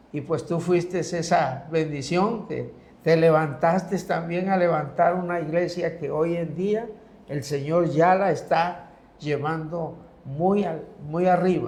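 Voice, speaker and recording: Audible room echo surrounds a man who speaks at a very slow pace with a high pitch and fairly even intonation. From Mexico, Comalcalco, Tabasco. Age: 70s. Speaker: pastor. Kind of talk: religious talk show conversation.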